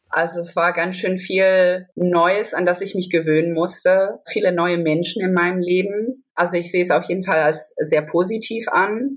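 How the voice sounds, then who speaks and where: A moderate pace with hardly any pauses. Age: 20s. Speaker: biologist. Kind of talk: personal testimony in interview.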